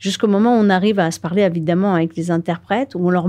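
Speaking at a very fast pace, a woman with a dark, mellow tone shows ordinary pitch variation. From northern France (Nord). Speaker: filmmaker and underwater explorer. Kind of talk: interview.

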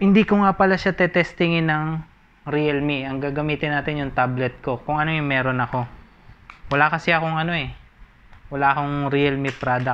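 The man's delivery has a fairly quick pace. Intonation remains fairly even throughout. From Philippines. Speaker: amateur tech YouTuber. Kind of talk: unboxing video. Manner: casual, halting. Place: home room. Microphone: phone near.

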